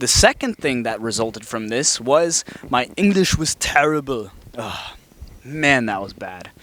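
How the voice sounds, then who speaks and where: Speaking at a fairly slow pace, a man with a German accent uses a fairly high pitch, lively intonation and big swings in loudness. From Alabama. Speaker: vlogger. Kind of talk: personal narration.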